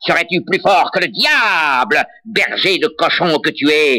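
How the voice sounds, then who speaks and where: Loud and creaky, a man performs a put-on character voice at a high pitch and a fairly slow pace. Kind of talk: folk tale acting. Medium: read story. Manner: loud, blustering.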